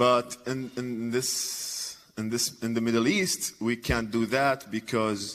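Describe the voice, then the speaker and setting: A man speaks with an Arabic accent at a medium pitch. He goes at a very slow pace with hardly any pauses. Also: fairly even intonation. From Iraq. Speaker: comedian and former journalist. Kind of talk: conference talk. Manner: halting, many fillers and repetitions.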